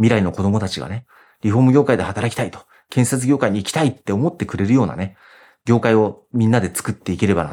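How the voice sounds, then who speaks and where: Speaking very fast at a medium pitch with ordinary variation, a man with a dark, mellow tone shifts widely in loudness on a very clean recording with a silent background. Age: 50s. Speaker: company president in web marketing for renovation. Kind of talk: interview.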